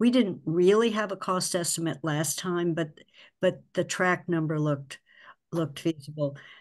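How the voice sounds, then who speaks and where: This woman has a normal speaking voice, fairly low in pitch, with ordinary pitch variation. She speaks at a moderate pace against a quiet background. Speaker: finance committee member. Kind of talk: public committee meeting discussion. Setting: video call. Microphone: video call.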